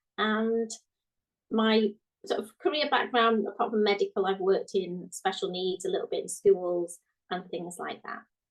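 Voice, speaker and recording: A woman with a British accent speaks at a moderate pace. Her pitch is fairly high, with ordinary variation. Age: 40s. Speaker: guest. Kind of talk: casual chat.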